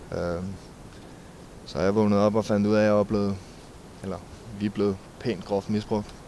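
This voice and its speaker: A man's fairly low, dark and mellow voice in monotone, flat intonation, broken by long, frequent pauses. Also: moderate pace. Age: 20s. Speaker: war veteran. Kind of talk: interview. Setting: outdoors. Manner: halting.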